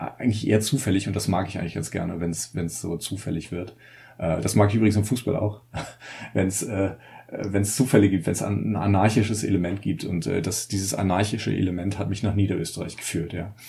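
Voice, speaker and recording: A dark, mellow tone with a somewhat breathy edge. The pace is fairly quick, and the pitch varies in an ordinary way. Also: man, fairly low pitch for a man. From northern Germany, Mecklenburg. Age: 30s. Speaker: journalist and author. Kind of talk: casual chat.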